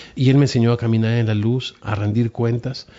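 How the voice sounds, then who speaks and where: A man is talking here at a moderate pace. His pitch is medium. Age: 50s. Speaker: pastor. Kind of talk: interview testimony. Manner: soft-spoken; halting, repeats words.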